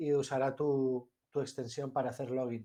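A man with a Spanish accent, a fairly high pitch and a dark, mellow tone, at a moderate pace over a quiet background. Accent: Spanish (Spain). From Spain. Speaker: software developer. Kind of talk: interview. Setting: online audio space.

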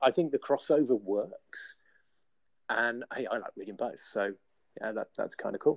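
With a British accent, a man speaks at a moderate pace with long, frequent pauses, and the sound is dry and close with no echo. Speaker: podcast co-host, indie author.

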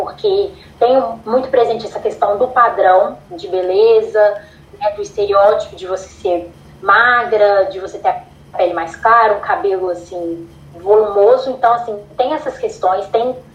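Amid noticeable background noise, a woman talks at a fairly slow pace, her fairly high pitch showing ordinary variation. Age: 20s. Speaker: psychology student and model. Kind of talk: casual interview chat.

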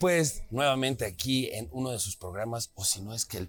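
Over music in the background, a man talks at a moderate pace with a medium pitch and very wide pitch swings. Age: 30s. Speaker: podcast host. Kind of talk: casual chat. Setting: restaurant.

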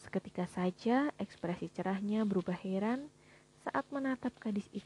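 Someone is reading aloud in a natural voice. The text is simply read out.

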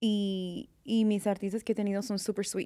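Fairly slow and with a dark, mellow tone, a woman speaks in a very clean recording with a silent background. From California. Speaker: makeup artist. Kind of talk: interview. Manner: halting.

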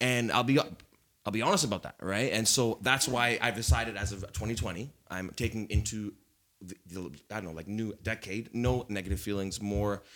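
Loudness swings widely as a man talks at a moderate pace. His pitch variation is ordinary. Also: fairly low pitch for a man. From Canada. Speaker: panelist. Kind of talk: casual chat.

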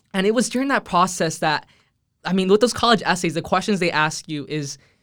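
Recorded very cleanly against a silent background, a man talks at a fairly quick pace with a high pitch. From Texas, Rio Grande Valley. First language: Spanish. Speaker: college scholar and entrepreneur. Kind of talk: interview testimony.

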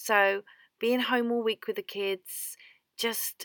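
A woman with an English accent on a very clean recording, with a silent background and a dry, close sound with no echo. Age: 30s. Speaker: podcast host, homemaker. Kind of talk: solo podcast monologue. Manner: chatty, talkative.

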